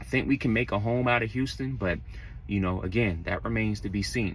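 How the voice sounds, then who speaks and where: A man with an American accent and an ordinary speaking voice talks at a fairly quick pace with lively intonation. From Florida, Orlando. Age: 30s. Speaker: truck driver. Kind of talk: casual vlog talk. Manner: casual, conversational.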